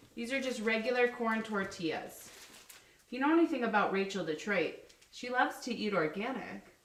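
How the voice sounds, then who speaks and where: Amid noticeable background noise and audible room echo, a woman speaks fairly quickly at a fairly high pitch with lively intonation. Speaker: life coach cooking on a livestream. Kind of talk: live cooking demonstration. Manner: loud; casual, chatty.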